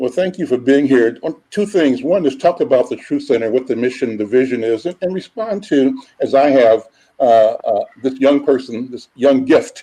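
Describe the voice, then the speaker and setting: With an American accent, a man at a fairly high pitch speaks at a moderate pace with hardly any pauses, his dark, mellow tone shaped by lively intonation. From Kansas City, US Midwest. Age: 70s. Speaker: talk show host. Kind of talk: interview conversation. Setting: call.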